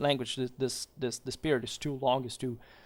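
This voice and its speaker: This man has a fairly high pitch and a non-native accent. The recording is very clean, with a silent background. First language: not English. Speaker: history commentator. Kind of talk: video commentary monologue. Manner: halting, many fillers and repetitions.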